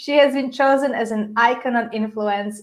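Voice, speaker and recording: At a moderate pace, a woman with a high pitch speaks with a Polish accent. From Poland. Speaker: podcast host. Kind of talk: live interview.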